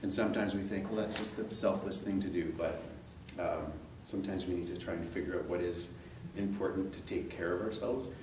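Over noticeable background noise, a man speaks very fast in a fairly low voice. His intonation is monotone and flat, with a Canadian accent. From Canada. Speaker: event organizer introducing the speaker. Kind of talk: speech introduction. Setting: stage with audience. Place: meeting room. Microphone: camera far.

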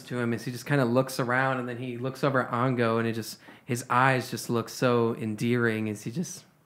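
What we hear is plain reading aloud.

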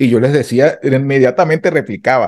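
The voice has a dark, mellow tone and ordinary pitch variation over a quiet background. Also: man. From Venezuela, Carabobo (Valencia area); Carabobo, Venezuela. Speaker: street mime and immigrant; interview guest. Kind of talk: interview testimony. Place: home room. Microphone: studio mic.

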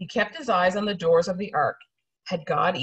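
Delivered in an unforced reading voice, the speech has fairly even intonation against a quiet background.

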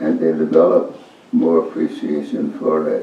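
Against light background noise and audible room echo, a man with an American accent speaks at a fairly slow pace. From United States. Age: 80s+. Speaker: poet. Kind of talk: interview answer. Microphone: camera far.

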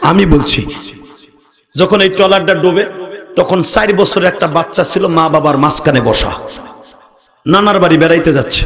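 Light background noise sits behind a man whose voice is high in pitch. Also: ordinary pitch variation. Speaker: Islamic preacher. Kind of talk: sermon. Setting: stage with audience. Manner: animated; loud. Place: stage. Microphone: podium.

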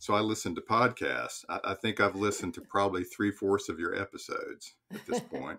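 Talking at a fairly quick pace, a man moves along with hardly any pauses. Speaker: minister and psychotherapist; professor of pastoral theology. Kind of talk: podcast interview answer.

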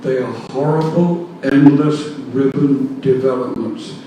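A man with a fairly high pitch and fairly even intonation speaks at a very slow pace. The room echo is audible, and there is noticeable background noise. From foreign country. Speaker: resident speaking at public hearing. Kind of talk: public comment. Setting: public meeting.

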